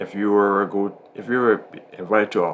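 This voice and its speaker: At a moderate pace, a man speaks at a fairly low pitch with fairly even intonation. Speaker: astrology podcast host. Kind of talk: casual chat. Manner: halting, self-correcting.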